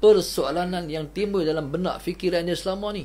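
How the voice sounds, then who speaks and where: Here a man talks at a moderate pace with a high pitch. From Malaysia. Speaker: religious teacher. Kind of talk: religious lecture. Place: home room.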